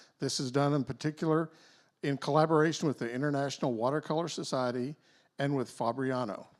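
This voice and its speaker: A man with a Texas accent speaks at a fairly quick pace in a fairly high voice with ordinary pitch variation. The recording is very clean, with a silent background. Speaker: event emcee. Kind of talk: reading aloud an artist introduction.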